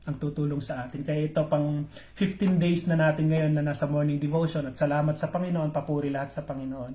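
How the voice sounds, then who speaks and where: This man's voice is somewhat breathy and fairly high in pitch. His pace is fairly quick. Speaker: pastor. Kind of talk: live-streamed morning devotion. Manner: halting, with many fillers.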